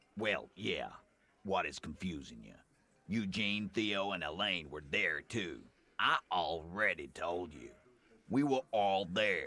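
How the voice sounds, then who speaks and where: A man puts on a character voice, pitched fairly low. He speaks at a fairly slow pace, and his loudness swings widely. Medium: video game. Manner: contemptuous, blunt.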